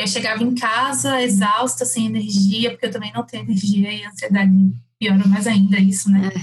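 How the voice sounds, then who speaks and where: A woman at medium pitch speaks at a moderate pace, her pitch swinging very widely. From Salvador, Bahia, Brazil. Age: 30s. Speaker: lawyer turned entrepreneur. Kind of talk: casual chat.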